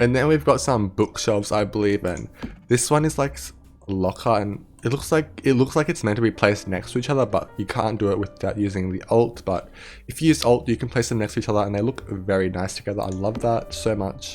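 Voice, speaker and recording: A man's fairly low-pitched, animated voice with lively intonation at a fairly quick pace, music in the background. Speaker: gaming youtuber. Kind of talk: gameplay commentary. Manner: fast.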